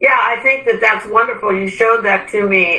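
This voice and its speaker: A woman is heard over noticeable background noise. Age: 70s. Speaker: retiree, yoga novice. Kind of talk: interview.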